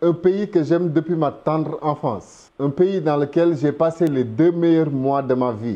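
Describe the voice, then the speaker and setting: In a Senegalese accent, a man with a fairly high pitch and a dark, mellow tone speaks at a fairly slow pace with ordinary pitch variation against a quiet background. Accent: Senegalese, pure. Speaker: YouTube commentator. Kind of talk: casual video commentary.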